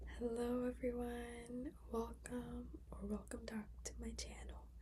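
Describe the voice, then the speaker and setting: Amid noticeable background noise, a soft-spoken woman talks at a very slow pace. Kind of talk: casual talk to camera, movie review.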